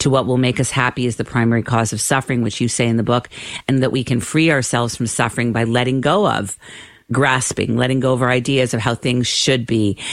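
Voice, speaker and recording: A woman with a Canadian accent, very deep and low in pitch, at a fairly quick pace over noticeable background noise. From Canada. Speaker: radio host. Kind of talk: radio interview.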